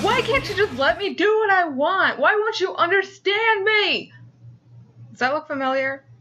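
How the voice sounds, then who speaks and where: At a moderate pace, a woman uses a raised, projected voice with extremely high pitch, a bright, sharp tone and big swings in loudness. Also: lively intonation. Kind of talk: casual opinion talk to camera. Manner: hesitant, stuttering, frequent pauses.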